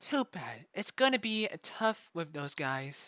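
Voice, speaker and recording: A female-sounding put-on character voice moves at a fairly slow pace from a medium pitch through very wide pitch swings. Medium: read story. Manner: impatient, dismissive.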